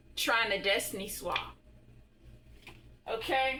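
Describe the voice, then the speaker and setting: In a room with audible echo, a bright, sharp voice moves at a very slow pace with ordinary pitch variation. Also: woman. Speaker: spiritual tarot reader. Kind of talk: tarot reading monologue.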